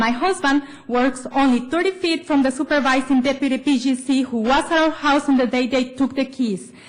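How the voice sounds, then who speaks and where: Against noticeable background noise, a woman with a non-native accent speaks at a high pitch and fairly quick pace, with hardly any pauses, fairly even intonation and very even loudness. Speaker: public commenter. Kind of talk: public comment speech at government meeting.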